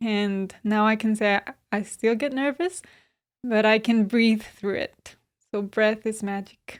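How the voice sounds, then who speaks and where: The speaker has a Spanish accent and talks at a very slow pace. The recording is very clean, with a silent background. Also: woman. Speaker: yoga teacher and therapist. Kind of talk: podcast interview.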